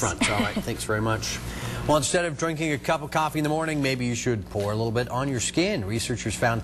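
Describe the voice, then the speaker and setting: Noticeable background noise sits under a man talking at a fairly quick pace. His intonation is lively. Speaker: TV news anchor and field reporter. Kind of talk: TV news anchor read and studio banter.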